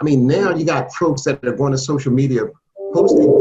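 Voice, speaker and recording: This voice has a dark, mellow tone and is somewhat breathy, with an American accent. The pace is moderate. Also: man. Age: 60s. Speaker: state legislator. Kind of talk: panel discussion.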